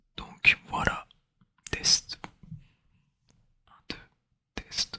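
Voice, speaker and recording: A man whispers in a dry, close sound with no echo. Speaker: new ASMR creator. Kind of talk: ASMR whisper introduction. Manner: whispered, soft-spoken.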